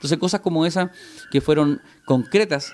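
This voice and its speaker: Man at a moderate pace, ordinary pitch variation, light background noise behind him. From Chile, Concepción; Chile. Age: 40s. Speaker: politician. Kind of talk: interview. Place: cafe. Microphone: studio mic.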